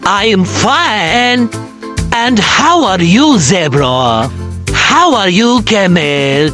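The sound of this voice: Putting on a character voice, a woman speaks very slowly at a medium pitch, her tone fairly bright and her pitch swinging widely, with faint music in the background.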